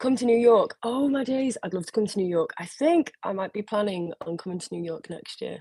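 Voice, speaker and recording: A woman speaks with an English accent at a moderate pace, her tone dark and mellow. Her intonation is lively, and the sound is dry and close with no echo. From northern England, around Liverpool. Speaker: singer. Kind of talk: live stream Q&A. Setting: solo live video stream. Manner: casual, hesitant with many fillers.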